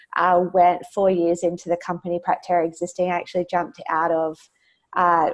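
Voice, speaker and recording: In an Australian accent, a woman speaks at a fairly quick pace in a fairly low pitch. Her intonation is monotone and flat. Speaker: education technology executive. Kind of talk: webinar presentation. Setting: webinar, remote. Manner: frequent filler words, hesitant.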